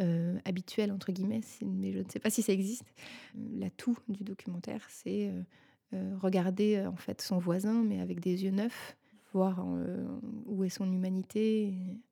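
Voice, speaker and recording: The speaker is a woman at a fairly slow pace. She leaves long, frequent pauses. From Paris suburbs, Seine-et-Marne, France. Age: 30s. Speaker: documentary filmmaker and photographer. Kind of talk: interview. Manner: halting, many hesitations.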